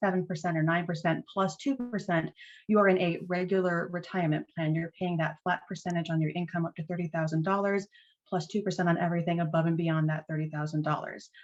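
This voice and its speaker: A woman's fairly low-pitched voice, fairly quick in pace, with fairly even intonation. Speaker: retirement benefits presenter. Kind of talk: informational presentation. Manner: fast.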